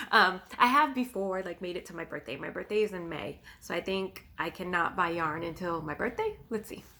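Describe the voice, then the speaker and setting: A woman's voice at a moderate pace with lively intonation. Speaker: knitting podcaster. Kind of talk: casual video podcast monologue. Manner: hesitant with many ums.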